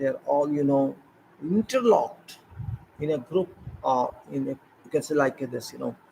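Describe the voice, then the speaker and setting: Speaking in an Indian accent, this man's voice is fairly high for a man. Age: 60s. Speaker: retired civil engineer. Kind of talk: informal talk. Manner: halting.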